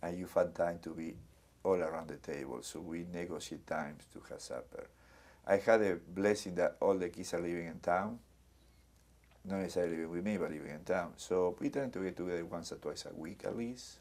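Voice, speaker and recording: A man's very deep, low voice with a Spanish accent, a fairly quick pace, ordinary pitch variation and big swings in loudness. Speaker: community center director. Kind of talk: oral history interview.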